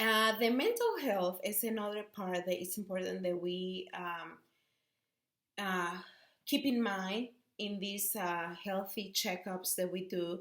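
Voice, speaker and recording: A woman's medium-pitched voice, very slow in pace, with fairly even intonation. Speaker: student and preschool teacher. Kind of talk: class presentation. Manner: halting, many fillers.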